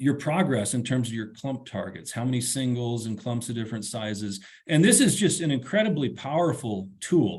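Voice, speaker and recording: Speech in an American accent runs with hardly any pauses and sounds somewhat breathy. Audible room echo fills the recording. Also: man, medium pitch for a man, lively intonation. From western Montana. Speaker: forest ecology professor. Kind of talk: webinar lecture. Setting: online webinar. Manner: fast; casual, halting with repeated words.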